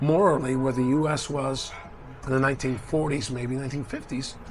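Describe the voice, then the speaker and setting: Audible room echo surrounds a man's voice of medium pitch. He speaks at a moderate pace. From Cuba, raised in US (Miami, New York). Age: 60s. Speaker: traveler. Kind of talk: casual chat. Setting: restaurant.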